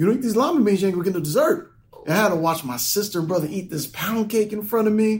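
An animated man speaks at a very fast pace. His pitch is high. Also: lively intonation. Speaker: podcast co-host. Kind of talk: casual chat.

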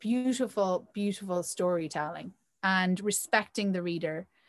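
Here is a woman with an Irish accent. She talks at a fairly slow pace. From Ireland. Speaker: magazine founder and editor. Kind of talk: interview.

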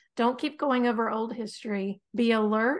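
A woman with an American accent has an ordinary speaking voice, fairly high in pitch. She talks at a moderate pace with fairly even intonation against a quiet background. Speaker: podcast host. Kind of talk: casual chat. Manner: laughs often, conversational.

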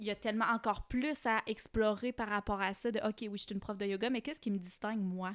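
In a very clean recording with a silent background, a woman talks at a very fast pace with hardly any pauses and fairly even intonation. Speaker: podcast host and yoga teacher. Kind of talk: casual interview chat.

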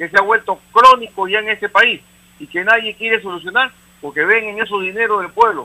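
This is a man talking. His pitch is high. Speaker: caller. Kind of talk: call-in opinion.

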